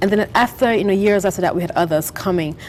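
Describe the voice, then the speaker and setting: Noticeable background noise sits behind a woman with a Caribbean accent. Her voice is medium in pitch with ordinary pitch variation. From St. Vincent and the Grenadines. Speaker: author and business founder. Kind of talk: TV interview.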